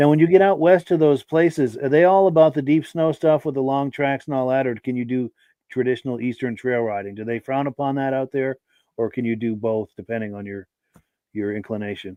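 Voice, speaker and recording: A man talks fairly quickly in a normal speaking voice, his medium pitch showing ordinary pitch variation. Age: 60s. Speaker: podcast host. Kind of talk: live podcast chat reading viewer comments.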